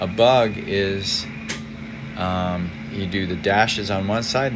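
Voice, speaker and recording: A man talks with fairly low pitch and ordinary pitch variation. Room echo is audible, and there is noticeable background noise. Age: 70s. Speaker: amateur radio operator. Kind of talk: equipment tour. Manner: halting; casual.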